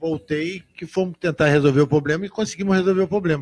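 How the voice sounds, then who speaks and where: A man talks at a fairly quick pace in a somewhat breathy voice, with a dry sound that has no echo. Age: 60s. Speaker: motorcycle club director. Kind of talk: casual live radio interview. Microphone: handheld.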